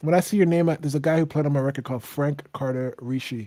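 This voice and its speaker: Soft-spoken delivery. The tone is dark and mellow. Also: man. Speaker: singer-songwriter hosting a livestream. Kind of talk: casual livestream chat.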